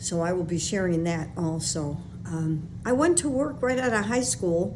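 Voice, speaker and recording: Over noticeable background noise and audible room echo, a woman speaks at a moderate pace. Her fairly low voice has lively intonation. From Chicago, West Side. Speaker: podcast host, former sales trainer and public speaker. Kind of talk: personal monologue. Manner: casual, with fillers.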